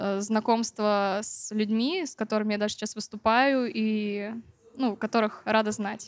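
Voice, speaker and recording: A woman speaks at a fairly slow pace with a fairly high pitch and an unremarkable speaking voice. The recording is very clean with a silent background and a dry, close sound with no echo. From Siberia, Novokuznetsk. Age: young. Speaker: singer-songwriter. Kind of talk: interview.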